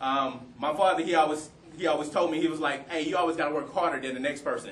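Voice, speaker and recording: A man's fairly high voice at a fairly quick pace with fairly even intonation, amid noticeable background noise and audible room echo. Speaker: panel speaker, community professional. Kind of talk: career advice talk to students. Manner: fast.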